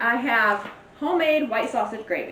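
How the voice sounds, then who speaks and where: With a Southern US accent, a woman speaks in a fairly high pitch with lively intonation, amid audible room echo and noticeable background noise. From Louisiana, US South. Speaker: cooking channel host, author. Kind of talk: cooking tutorial. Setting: home kitchen. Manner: casual, chatty.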